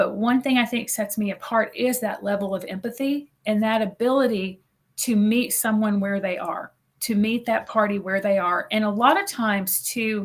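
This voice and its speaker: A woman speaks with a fairly high pitch and ordinary pitch variation, somewhat breathy. The recording is very clean, with a silent background. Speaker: mediator. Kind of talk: interview conversation. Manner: fast; upbeat.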